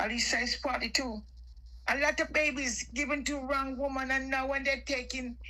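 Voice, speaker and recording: A woman's raised, projected voice, high in pitch, with a bright, sharp tone. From Jamaica. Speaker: caller on live stream. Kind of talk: heated political chat.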